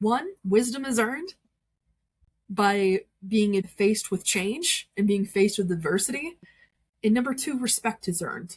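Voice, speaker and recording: A woman's somewhat breathy, fairly high voice, fairly slow with lively intonation and long, frequent pauses. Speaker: witch. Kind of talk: casual podcast chat. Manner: animated.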